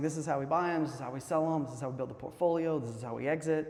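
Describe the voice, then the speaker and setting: The man's fairly high voice is heard over noticeable background noise. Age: 50s. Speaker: real estate investor and house builder. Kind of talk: casual interview.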